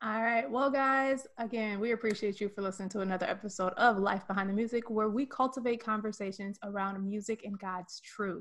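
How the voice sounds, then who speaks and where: A plain, everyday voice from a woman, fairly high in pitch and at a fairly quick pace, against a quiet background. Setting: video call, recorded on camera and YouTube.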